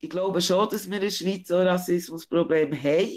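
Fairly even intonation from a woman with a fairly low pitch, in a very clean recording with a silent background. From Switzerland, Bern region. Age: 40s. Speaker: interview guest. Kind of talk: interview.

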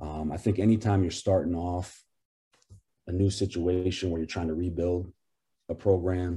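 A man's very deep, low voice, dark and mellow, somewhat breathy and monotone, flat in intonation, at a moderate pace with long, frequent pauses, on a very clean recording with a silent background. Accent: American. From Maine, US. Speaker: college basketball head coach. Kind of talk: interview.

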